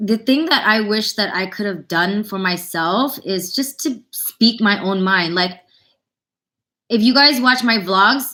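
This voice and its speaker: Bright and sharp in tone, a woman's fairly high voice moves with ordinary pitch variation on a very clean recording with a silent background. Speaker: vlogger and singer. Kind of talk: live stream Q&A. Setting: live stream. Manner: casual, chatty.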